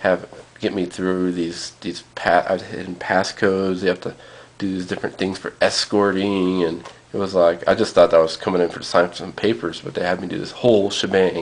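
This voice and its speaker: A man with a very deep, low voice talks at a fairly quick pace, his intonation fairly even but his loudness swinging widely. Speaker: vlogger. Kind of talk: casual vlog. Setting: at home, alone. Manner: halting, many fillers.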